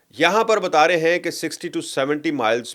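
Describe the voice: A man speaks with ordinary pitch variation, keeping to a fairly slow pace.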